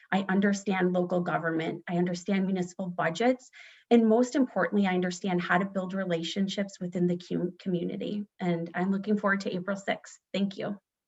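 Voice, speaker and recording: Medium pitch from a woman in an American accent, somewhat breathy, at a fairly quick pace with hardly any pauses and fairly even intonation. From northern Illinois, US. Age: 40s. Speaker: political candidate. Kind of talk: candidate forum opening statement.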